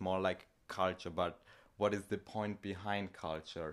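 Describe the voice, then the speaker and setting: Speaking with a German accent, a man keeps a fairly low pitch and a fairly slow pace on a very clean recording with a silent background. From Austria, small village. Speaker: podcast host. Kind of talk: casual chat.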